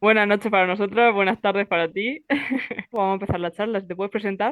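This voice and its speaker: At a very fast pace, a woman talks in a medium pitch with fairly even intonation, the sound dry and close with no echo. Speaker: podcast host. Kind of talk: casual interview chat.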